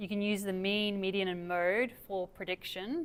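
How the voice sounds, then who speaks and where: In an Australian accent, a woman at medium pitch talks at a fairly slow pace with ordinary pitch variation. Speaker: academic researcher. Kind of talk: lecture Q&A.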